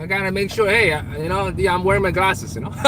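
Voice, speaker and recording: Through noticeable background noise, a man speaks at a high pitch. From China. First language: Chinese. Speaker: live streamer. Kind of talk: casual live stream chat. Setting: in a car. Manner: animated.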